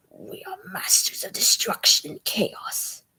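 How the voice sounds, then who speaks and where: Put-on character voice, raspy and fairly slow. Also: extremely high pitch. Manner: dark, sadistic.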